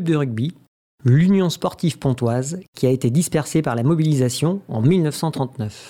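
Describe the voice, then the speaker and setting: A man's dark, mellow voice with a fairly high pitch, lively intonation and a fairly slow pace. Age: 80s+. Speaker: former rugby player and club founder. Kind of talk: personal testimony.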